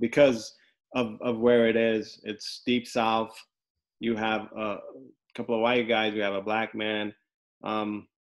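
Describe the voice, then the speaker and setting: Speaking at a fairly slow pace with long, frequent pauses, a man holds a medium pitch in a monotone, flat delivery. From Los Angeles, US. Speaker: podcast host and criminal defense lawyer. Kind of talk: casual interview.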